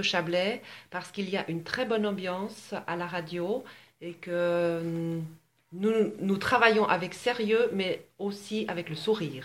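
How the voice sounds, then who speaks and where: A woman talks fairly slowly at medium pitch. She has a plain, everyday voice with ordinary pitch variation. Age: 50s. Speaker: accountant. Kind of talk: interview. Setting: radio station.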